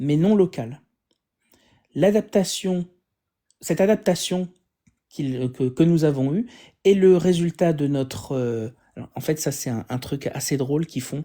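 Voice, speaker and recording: In a French accent, the speaker talks at a fairly slow pace with long, frequent pauses on a very clean recording with a silent background. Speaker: atheist live streamer debunking religion. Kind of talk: live stream science commentary. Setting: live stream with guests. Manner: halting, many fillers.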